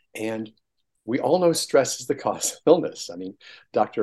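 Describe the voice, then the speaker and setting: A man talks with lively intonation. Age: 60s. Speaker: chiropractor and energy medicine practitioner. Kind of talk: interview. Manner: animated.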